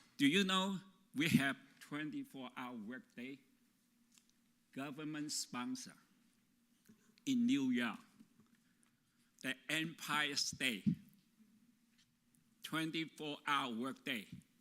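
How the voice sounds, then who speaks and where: A man's bright, sharp, fairly high voice with a non-native accent, lively intonation, big swings in loudness, a very slow pace and long, frequent pauses. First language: not English. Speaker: labor organizer. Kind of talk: conference talk.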